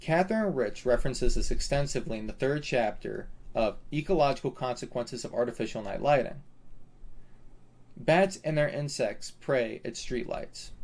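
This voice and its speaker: A somewhat breathy man's voice, fairly high-pitched, with lively intonation and a moderate pace. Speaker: student. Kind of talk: educational presentation narration.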